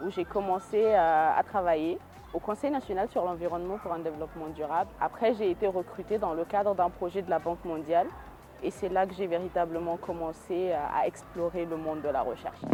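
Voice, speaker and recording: A woman's fairly quick speech with ordinary pitch variation, over noticeable background noise. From Niger, Niamey. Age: 20s. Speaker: hydrogeologist and researcher. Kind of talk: interview testimony. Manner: frequent hesitations.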